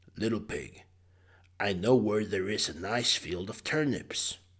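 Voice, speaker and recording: Using a put-on character voice, a man sounds raspy and fairly low in pitch, speaking at a fairly slow pace. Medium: read story. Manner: sly.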